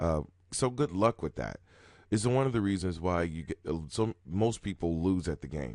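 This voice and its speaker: Over a quiet background, a man speaks at a moderate pace with lively intonation. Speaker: roulette strategy youtuber. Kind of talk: live gameplay commentary. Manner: casual and conversational.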